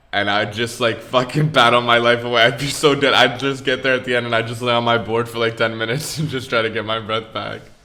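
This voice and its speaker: There is noticeable background noise as a man talks at a very fast pace with hardly any pauses. His medium-pitched voice stays monotone and flat. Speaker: podcast co-host. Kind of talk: casual chat. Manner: mumbling.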